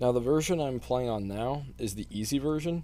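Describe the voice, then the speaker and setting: Here a man speaks with lively intonation. His tone is dark and mellow. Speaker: indie game developer. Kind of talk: gameplay walkthrough. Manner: loud; hesitant, many fillers.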